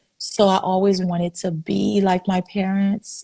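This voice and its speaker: Somewhat breathy, this woman's voice rests at a fairly low pitch. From Haiti. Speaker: physician. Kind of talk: interview.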